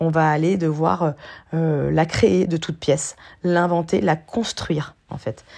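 Pitch varies an ordinary amount as the speaker talks at a very slow pace. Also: woman, very deep, low pitch for a woman. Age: 40s. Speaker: life coach and podcast host. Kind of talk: solo podcast monologue. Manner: hesitant, many fillers.

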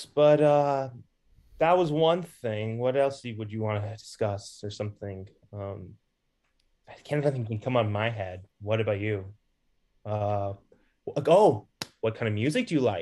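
Speaking at a fairly slow pace with long, frequent pauses, a man has a medium pitch, a dark, mellow tone and ordinary pitch variation. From California. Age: 20s. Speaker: college student, caller. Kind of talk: casual chat.

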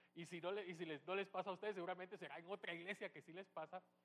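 The man here speaks at a high pitch. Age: 40s. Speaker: pastor. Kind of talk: sermon. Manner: halting.

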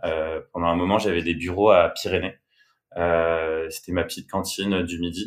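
In a very clean recording with a silent background, a man talks in a very deep, low voice with a flat, monotone delivery. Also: moderate pace. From France, Bordeaux. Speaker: music booker and creative. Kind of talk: casual chat.

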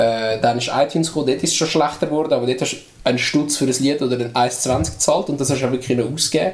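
The speaker talks at a very fast pace with a Swiss accent and ordinary pitch variation. Noticeable background noise can be heard. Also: man, medium pitch for a man. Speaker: podcast host, rap album reviewer. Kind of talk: casual chat.

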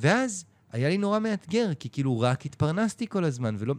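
The speech moves at a fairly quick pace with very wide pitch swings. The recording is very clean, with a silent background. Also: man. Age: 40s. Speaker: online community founder. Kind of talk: casual chat.

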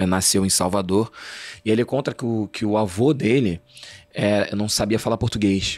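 The recording is very clean, with a silent background. The speaker keeps a moderate pace and fairly even intonation. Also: man. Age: 30s. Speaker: journalist and actor. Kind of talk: interview conversation. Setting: studio. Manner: hesitant, repeats words.

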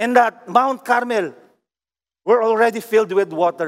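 Delivered at a moderate pace with a Filipino accent, the speech has a dry, close sound with no echo. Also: man. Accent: Filipino English, Taglish. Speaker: pastor. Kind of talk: sermon. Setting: online worship service. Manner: fervent, declamatory preaching, rising emphasis.

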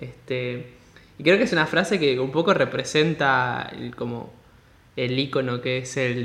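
This man speaks at a medium pitch with a Rioplatense accent. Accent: Argentine Spanish (rioplatense). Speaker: podcast host. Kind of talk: interview. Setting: call.

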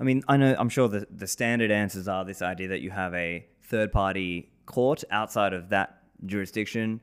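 With an Australian accent, a man speaks at a fairly low pitch in a very clean recording with a silent background. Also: ordinary pitch variation, moderate pace. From Australia, Sydney. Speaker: podcast host and bitcoin advocate. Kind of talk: casual interview.

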